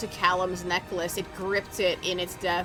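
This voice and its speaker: A woman's voice over music in the background. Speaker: game streamer. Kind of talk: reading quest text aloud while gaming.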